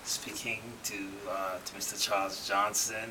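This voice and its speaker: A man speaks at a moderate pace in a fairly low register. Noticeable background noise and audible room echo surround his voice. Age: middle-aged. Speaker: doctor and musician. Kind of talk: casual chat.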